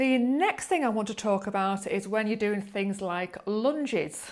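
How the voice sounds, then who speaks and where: At a moderate pace, a woman uses an ordinary speaking voice, fairly high in pitch with ordinary variation. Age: 40s. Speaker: yoga teacher. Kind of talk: tutorial. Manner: calm, gentle.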